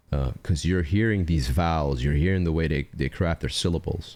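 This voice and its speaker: Animated and full of lively intonation, a man with a non-native accent speaks at a very deep, low pitch with vocal fry. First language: not English. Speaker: music reaction youtuber. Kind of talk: casual reaction commentary. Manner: animated, casual with many fillers.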